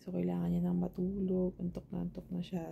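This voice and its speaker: A soft-spoken woman talks. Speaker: family vlogger. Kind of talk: casual vlog talk.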